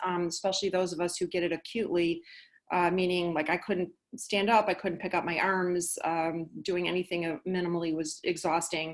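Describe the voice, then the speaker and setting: Against a quiet background, a woman speaks in a normal speaking voice at a moderate pace. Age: 60s. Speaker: physician and patient speaker. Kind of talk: webinar presentation. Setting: online webinar.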